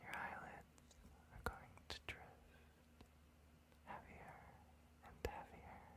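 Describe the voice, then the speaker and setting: A man whispers. His pace is very slow. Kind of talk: soft-spoken ASMR roleplay. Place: home room.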